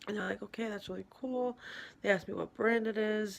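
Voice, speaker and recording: The speaker is quiet, with ordinary pitch variation. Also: woman. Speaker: vlogger. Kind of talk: casual monologue. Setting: at home in an apartment at night.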